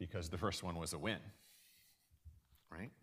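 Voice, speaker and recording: A man on a very clean recording, the background silent. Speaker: university lecturer. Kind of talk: lecture. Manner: halting, with many fillers.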